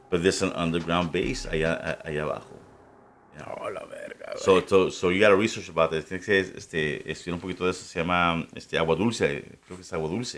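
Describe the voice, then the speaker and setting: The speaker is a man with a moderate pace. His volume rises and falls in big swings. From Ciudad Juárez, northern Mexico (US border). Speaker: podcast guest, paranormal enthusiast. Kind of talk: casual chat.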